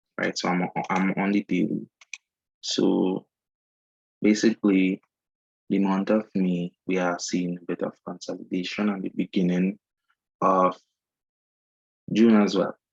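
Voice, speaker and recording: In a Trinidadian accent, a man with a very deep, low voice speaks at a fairly slow pace in a monotone, flat way, with long, frequent pauses and a dry, close sound with no echo. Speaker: forex trader. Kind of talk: screen-share tutorial. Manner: casual, many fillers.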